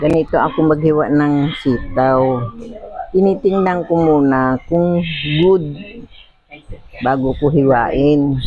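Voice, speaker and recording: Over noticeable background noise, a soft-spoken woman with a very deep, low pitch talks at a very slow pace with long, frequent pauses and very even loudness. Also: ordinary pitch variation. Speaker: vlogger. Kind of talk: casual cooking vlog.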